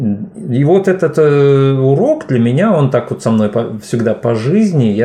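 A man speaks with very wide swings in pitch. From Uzbekistan, Fergana. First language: Tajik, now native Russian (speaking Russian). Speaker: poet and DJ. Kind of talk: podcast interview. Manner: hesitant, filler-heavy.

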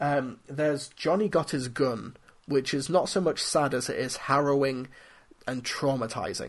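A fairly high-pitched male voice with a British accent. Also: ordinary pitch variation, moderate pace. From UK. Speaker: film critic podcast host. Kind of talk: solo podcast commentary.

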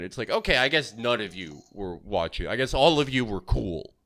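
A man's bright, sharp tone carries vocal fry at a moderate pace, recorded very cleanly against a silent background. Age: 20s. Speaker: podcast guest. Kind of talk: casual chat.

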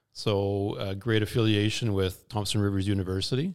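Over a silent background in a very clean recording, a man speaks with a Western Canadian accent. His pitch is fairly low and his pace moderate. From Kamloops, British Columbia, Canada. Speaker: former youth soccer coach and board member. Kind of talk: casual interview chat. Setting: boardroom studio.

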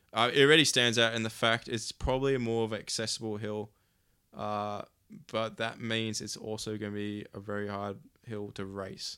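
A man's fairly low, bright, sharp voice in an Australian accent, at a moderate pace with fairly even intonation, in a very clean recording with a silent background. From Canberra, Australia. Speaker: downhill skate event organizer. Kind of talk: casual chat.

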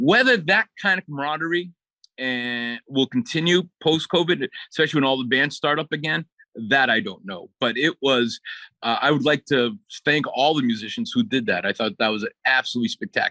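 Bright and sharp in tone, the voice has an American accent and very wide pitch swings over a quiet background. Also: man, fairly high pitch for a man, fairly quick pace, dry, close sound with no echo. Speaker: music teacher and philharmonic musician.

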